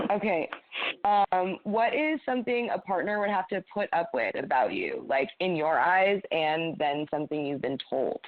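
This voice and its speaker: A woman's loud, medium-pitched voice with an American accent, very wide pitch swings and a moderate pace over noticeable background noise. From Maine, US. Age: 20s. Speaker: dating show contestant. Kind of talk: casual chat. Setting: phone call.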